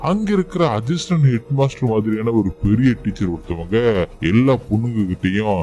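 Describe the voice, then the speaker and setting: Speaking at a medium pitch, a man has a dark, mellow tone. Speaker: movie explainer. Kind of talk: movie recap narration. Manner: casual, conversational.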